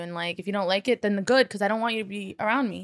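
A woman's plain, everyday voice at medium pitch with ordinary pitch variation, dry and close with no echo, on a very clean recording with a silent background. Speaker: stand-up comedian. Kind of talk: casual chat.

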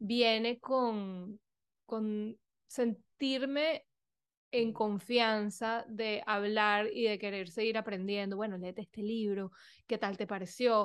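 A woman with a fairly high voice speaks at a very slow pace and with fairly even intonation over a quiet background. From Venezuela. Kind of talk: interview conversation.

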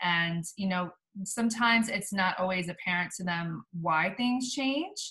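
A woman speaks with a plain, everyday voice at a medium pitch. Her intonation is lively and her pace fairly slow. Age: 40s. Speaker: podcast host, physical therapist. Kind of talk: interview. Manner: frequent fillers.

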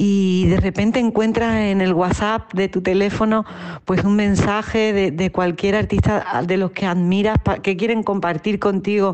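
A woman with an unremarkable speaking voice talks at a medium pitch and fairly slow pace, her intonation fairly even. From Andalusia, Spain (Utrera, Seville). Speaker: singer and performer. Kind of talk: interview.

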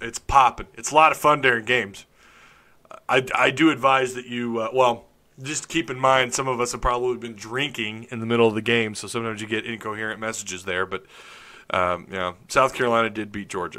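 This man talks at a fairly quick pace with medium pitch and ordinary pitch variation. His tone is bright and sharp, and his loudness swings widely. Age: 30s. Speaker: sports podcast host. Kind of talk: live stream chat.

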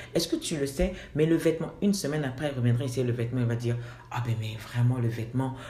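Noticeable background noise and audible room echo accompany a woman talking. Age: 40s. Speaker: assistant pastor and fashion designer. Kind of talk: interview.

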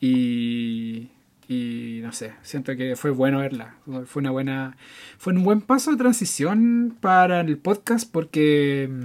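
On a very clean recording with a silent background, a man with a Chilean accent speaks very slowly at a fairly high pitch, with very wide pitch swings. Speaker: film podcast co-host. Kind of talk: casual chat.

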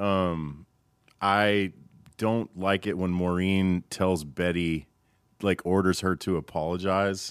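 A man talks at a very slow pace with a very deep, low pitch, very even loudness and fairly even intonation. The recording is very clean, with a silent background. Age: 40s. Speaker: audio engineer and producer. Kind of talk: casual chat. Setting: studio.

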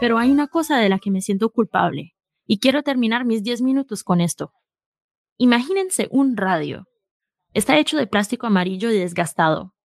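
Her fairly high voice, a woman's, moves in very wide pitch swings. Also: moderate pace. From Queens, New York, with Colombian roots. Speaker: podcast company founder. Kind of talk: live show conversation.

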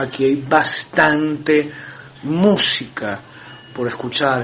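Noticeable background noise sits behind a man's voice. He talks at a very slow pace with ordinary pitch variation. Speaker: metal band drummer. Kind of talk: interview. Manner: halting.

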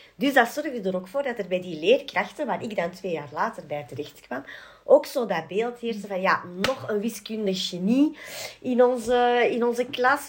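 A woman talks with a fairly high pitch. She has a plain, everyday voice. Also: lively intonation, moderate pace. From Belgium, Antwerp. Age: 40s. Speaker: adoption advocacy group chair. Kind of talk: casual conversation.

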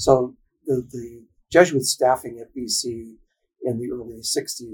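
The voice is somewhat breathy, with an American accent and fairly even intonation. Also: man. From Boston, Massachusetts (South Boston). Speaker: Jesuit priest and psychologist. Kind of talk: interview.

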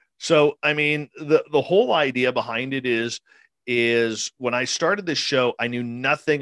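Speaking with a Canadian accent and a normal speaking voice, a man at medium pitch talks at a fairly slow pace with ordinary pitch variation, recorded very cleanly with a silent background and a dry, close sound with no echo. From British Columbia, Canada. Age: 40s. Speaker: radio host, paranormal experiencer. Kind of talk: interview conversation.

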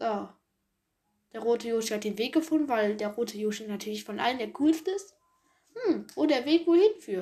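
Her tone dark and mellow, a woman with a fairly high pitch speaks with very wide pitch swings and long, frequent pauses. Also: moderate pace. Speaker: gaming podcaster. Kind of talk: let's play gameplay commentary. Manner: casual, many filler sounds.

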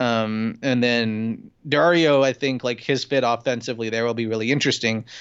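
A man at a medium pitch in an ordinary speaking voice. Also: fairly even intonation, moderate pace. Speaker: sports journalist. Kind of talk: casual chat.

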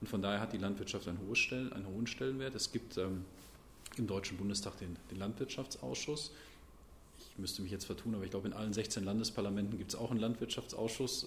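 Ordinary pitch variation and a fairly quick pace mark this somewhat breathy voice. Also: man. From Sauerland, Germany (Brilon). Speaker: member of parliament. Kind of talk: interview.

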